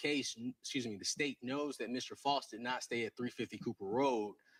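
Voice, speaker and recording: A man talks at a moderate pace in a medium pitch with ordinary pitch variation, the sound dry and close with no echo. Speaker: defense attorney. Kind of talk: courtroom argument. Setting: courtroom. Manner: halting.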